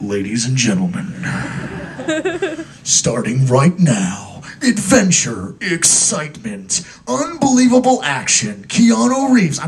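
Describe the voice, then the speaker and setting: A man puts on a character voice, pitched fairly high for a man, with very wide swings in pitch. He talks at a fairly slow pace over clear background noise. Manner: dramatic.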